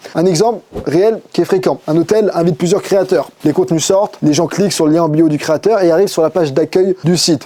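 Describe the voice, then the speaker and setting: A man with a high voice talks fairly quickly, his pitch varying in an ordinary way and his loudness very even, over noticeable background noise. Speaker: digital marketing agency owner. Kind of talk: tutorial. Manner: fast.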